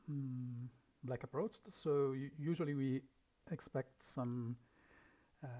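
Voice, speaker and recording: Soft-spoken and fairly slow, a man with a fairly high pitch and a dark, mellow tone talks with ordinary pitch variation. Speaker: league manager. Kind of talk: game review livestream.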